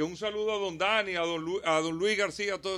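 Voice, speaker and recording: Talking at a very fast pace, a man uses a raised, projected voice with a high pitch, a bright, sharp tone and ordinary pitch variation. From Dominican Republic, Santo Domingo. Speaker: mayoral candidate and automotive radio host. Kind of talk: radio interview.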